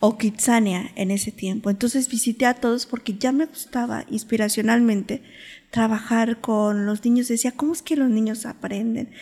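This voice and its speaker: A woman speaks at a moderate pace with a fairly high pitch, a dark, mellow tone and fairly even intonation. The recording is very clean, with a silent background. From Mexico City. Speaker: podcast host. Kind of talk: interview.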